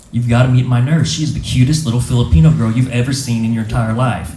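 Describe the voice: A man speaks at a medium pitch with a dark, mellow tone and ordinary pitch variation, and the room echo is audible.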